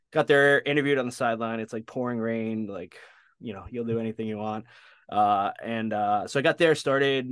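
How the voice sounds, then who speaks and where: Against a quiet background, a man speaks at a medium pitch with ordinary pitch variation in a plain, everyday voice. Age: 40s. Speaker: sports dietitian. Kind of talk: casual chat.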